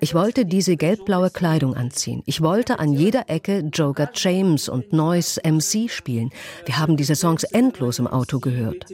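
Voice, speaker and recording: A woman with a Russian accent speaks at a moderate pace in a very deep, low voice that makes very wide pitch swings. The sound is dry and close with no echo, and there is noticeable background noise. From southern Russia. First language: Russian (speaking German). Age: 30s. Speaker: sales manager. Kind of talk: interview testimony (German voice-over). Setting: video call.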